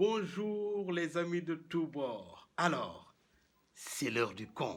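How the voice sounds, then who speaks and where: A high-pitched man's voice with lively intonation at a very slow pace. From Senegal. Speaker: professional storyteller. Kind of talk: traditional tale told aloud.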